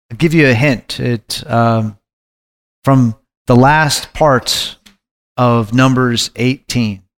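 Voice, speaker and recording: A medium-pitched man at a very slow pace, with long, frequent pauses, fairly even intonation and a dry, close sound with no echo. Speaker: Bible study co-leader. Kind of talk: group Bible study discussion.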